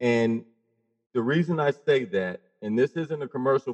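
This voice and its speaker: A plain, everyday voice from a man at a medium pitch, with ordinary pitch variation and a dry, close sound with no echo. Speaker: guest, mental health advocate. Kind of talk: interview conversation.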